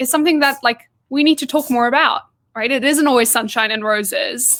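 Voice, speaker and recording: Her pitch high and its variation ordinary, a woman talks at a fairly quick pace. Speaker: interviewer. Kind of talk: interview.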